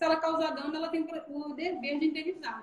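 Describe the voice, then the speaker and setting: A woman talking at a moderate pace. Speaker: business executive in accounting and labor law. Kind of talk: live stream Q&A, explanatory. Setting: video call live stream. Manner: animated.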